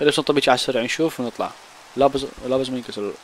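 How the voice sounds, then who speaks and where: At a very fast pace, a man speaks with medium pitch. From Iraq. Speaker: gaming YouTuber. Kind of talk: gameplay commentary. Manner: animated.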